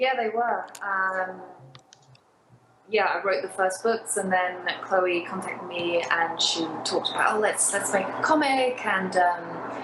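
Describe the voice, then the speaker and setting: A woman's medium-pitched voice in a British accent, fairly slow, with ordinary pitch variation, audible room echo and noticeable background noise. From UK. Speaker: novelist. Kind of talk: casual interview. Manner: quiet, low energy.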